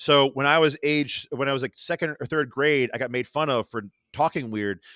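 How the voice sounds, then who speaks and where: A man with a Rochester accent speaks at a fairly high pitch in a bright, sharp tone, with ordinary pitch variation. The recording is very clean, with a silent background and a dry, close sound with no echo. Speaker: artist and podcaster. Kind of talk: casual chat. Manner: fast; animated, stumbling.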